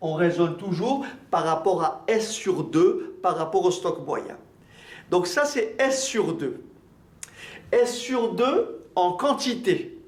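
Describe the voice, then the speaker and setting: Extremely high-pitched for a man, his voice makes very wide pitch swings at a very slow pace, with long, frequent pauses and audible room echo. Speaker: maths teacher. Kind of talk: lecture.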